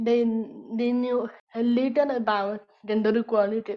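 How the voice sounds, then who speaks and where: A woman with an Italian accent speaks at a fairly high pitch. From Italy. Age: 18. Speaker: activist. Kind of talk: interview. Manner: halting.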